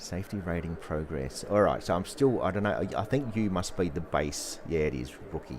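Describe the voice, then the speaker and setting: A man with a very deep, low pitch and vocal fry talks at a fairly quick pace with lively intonation. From Australia. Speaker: gaming streamer. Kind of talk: live gameplay stream chat. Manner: animated, excited; repetitive, stammering restarts.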